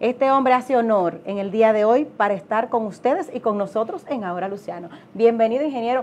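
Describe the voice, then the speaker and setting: Fairly quick pace from a woman, her pitch varying in an ordinary way. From Dominican Republic. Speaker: TV co-host; co-host or guest. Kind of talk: interview. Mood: warm, pleased. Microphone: lapel.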